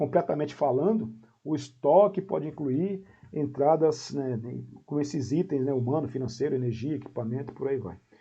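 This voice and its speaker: A somewhat breathy male voice, fairly high in pitch, with lively intonation and a moderate pace. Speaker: professor. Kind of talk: lecture. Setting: video call. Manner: halting.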